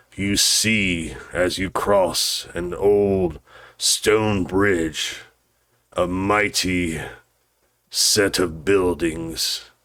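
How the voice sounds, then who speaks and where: In a very deep, low voice, a man talks at a very slow pace with fairly even intonation. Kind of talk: gothic horror narration. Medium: actual play. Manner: solemn, portentous.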